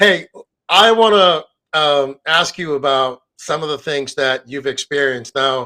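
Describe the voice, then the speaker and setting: Bright and sharp in tone, a man's voice sits fairly high with ordinary pitch variation at a fairly slow pace. The sound is dry and close with no echo, on a very clean recording with a silent background. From foreign-born, moved to US. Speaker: interview host. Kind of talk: interview.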